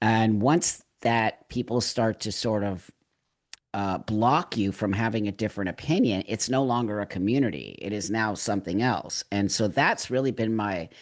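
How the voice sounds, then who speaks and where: The background is quiet, and this is an ordinary speaking voice. It moves at a moderate pace with ordinary pitch variation. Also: man, fairly low pitch for a man. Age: 60s. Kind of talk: casual chat.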